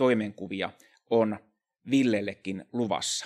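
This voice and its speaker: A man speaks against a quiet background. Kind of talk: seminar talk. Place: hall. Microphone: podium.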